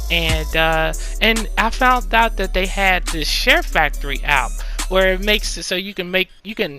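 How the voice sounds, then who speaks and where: A man speaks with an American accent at a fairly slow pace. Music plays in the background. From United States, Louisiana. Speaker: ASMR YouTuber. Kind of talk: casual talk to camera.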